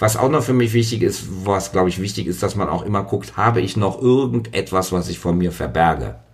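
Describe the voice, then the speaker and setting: A man talks at a fairly quick pace with hardly any pauses. His fairly low voice carries vocal fry. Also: lively intonation. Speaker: podcast guest. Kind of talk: casual chat. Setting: dressing room.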